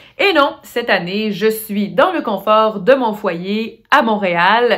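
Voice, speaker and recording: Speaking in a Quebec accent, a woman has a fairly high pitch. She goes at a very slow pace with ordinary pitch variation. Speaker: master of ceremonies. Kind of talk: award ceremony hosting. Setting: recorded at home for online broadcast.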